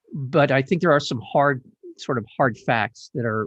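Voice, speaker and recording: An ordinary speaking voice from a man, with ordinary pitch variation, a moderate pace and a quiet background. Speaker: radio host. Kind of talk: interview. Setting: studio.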